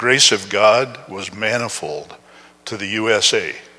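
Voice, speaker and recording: A man talks at a very slow pace with ordinary pitch variation. Noticeable background noise is present. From Upper Peninsula of Michigan, US. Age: 70s. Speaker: guest preacher. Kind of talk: sermon. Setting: church.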